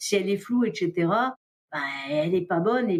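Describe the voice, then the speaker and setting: Moving at a moderate pace, a plain, everyday voice shows ordinary pitch variation. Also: woman. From France. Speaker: diver, explorer and underwater filmmaker. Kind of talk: podcast interview answer.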